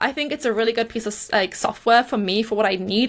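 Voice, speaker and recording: A woman speaks with a Geordie accent. Her pitch is fairly high. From northern England, Newcastle (Geordie). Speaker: YouTuber and small business owner. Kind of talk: interview. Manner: hesitant, many fillers.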